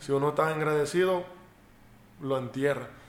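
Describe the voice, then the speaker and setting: With audible room echo and noticeable background noise, a man talks at a fairly high pitch with fairly even intonation. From United States. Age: 30s. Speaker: professional baseball pitcher. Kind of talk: interview. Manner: halting.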